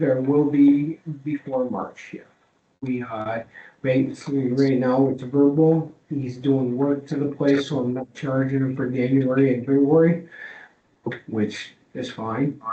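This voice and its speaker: The delivery moves at a fairly slow pace. Intonation stays monotone and flat. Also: man, medium pitch for a man. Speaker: property owner appealing to health board. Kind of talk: public hearing testimony. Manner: hesitant, many fillers.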